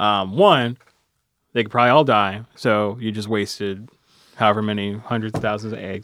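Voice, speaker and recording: Moderate pace and fairly low pitch from a man with an unremarkable speaking voice. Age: 20s. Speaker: public radio reporter and podcast host. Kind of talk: interview podcast.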